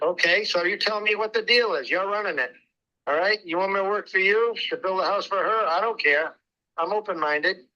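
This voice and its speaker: Raised and projected, a man's high, bright and sharp voice carries ordinary pitch variation. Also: fairly quick pace. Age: old. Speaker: home builder selling land. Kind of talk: phone sales negotiation. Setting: phone call from a loud restaurant. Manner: loud.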